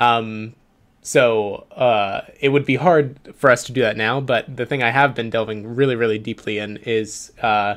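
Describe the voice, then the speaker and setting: At a fairly slow pace, a man with a medium pitch talks in a normal speaking voice with ordinary pitch variation. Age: 20s. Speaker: startup co-founder and show co-host. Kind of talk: casual livestream chat.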